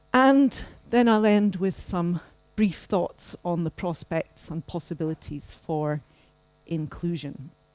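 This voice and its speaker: A woman speaks at a very slow pace in a fairly low pitch. Her intonation is lively. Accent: Scottish. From Scotland. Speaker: professor. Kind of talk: keynote lecture.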